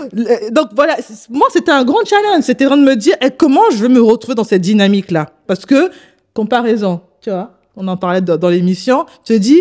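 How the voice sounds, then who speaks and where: Fairly quick speech with very wide pitch swings and big swings in loudness, on a very clean recording with a silent background. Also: woman, fairly high pitch for a woman. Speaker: co-host of a women's talk show. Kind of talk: casual talk show chat. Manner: fast.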